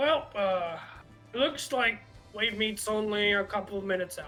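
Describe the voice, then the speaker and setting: Over clear music in the background, a man does a gravelly, put-on character voice at a high pitch and moderate pace with ordinary pitch variation. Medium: actual play. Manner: gruff, jovial.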